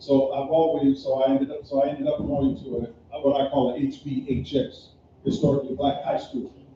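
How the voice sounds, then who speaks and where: There is noticeable background noise as a man with an American accent speaks quickly, his fairly high voice monotone and flat. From US Midwest (Gary, Indiana). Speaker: panelist sharing personal history. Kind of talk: panel discussion, personal recollection. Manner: repetitive, self-correcting.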